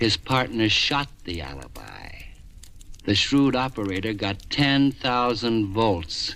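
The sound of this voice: Using a put-on character voice, a man speaks slowly at a fairly low pitch with big pitch swings, a fairly bright tone, and vocal fry.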